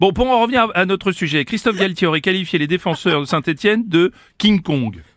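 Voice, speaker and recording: Lively intonation in a man's high voice, moving at a fairly quick pace. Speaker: radio host playing straight-man interviewer. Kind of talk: mock news interview in a comedy sketch. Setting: radio studio. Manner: politely exasperated.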